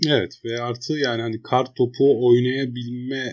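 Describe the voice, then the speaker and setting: Against a quiet background, an ordinary speaking voice comes through with fairly even intonation. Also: man. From Eskişehir, Turkey. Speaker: podcast co-host. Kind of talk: casual chat.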